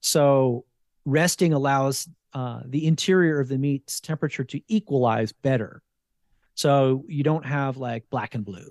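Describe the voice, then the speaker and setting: In an ordinary speaking voice, a man with an American accent talks fairly slowly at a fairly high pitch with ordinary pitch variation, recorded dry and close with no echo against a quiet background. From New Jersey, US. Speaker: wild game chef. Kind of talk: casual interview.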